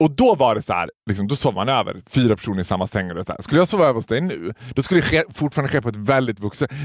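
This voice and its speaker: A man with a medium-pitched voice talks very fast, barely pausing. His tone is animated and his intonation lively. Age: 30s. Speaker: podcast host. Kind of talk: casual chat.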